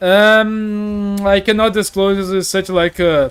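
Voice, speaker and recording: The man's voice sits at a high pitch. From Brazil. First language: Portuguese. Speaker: gaming streamer. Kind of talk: casual live stream chat. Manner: fast.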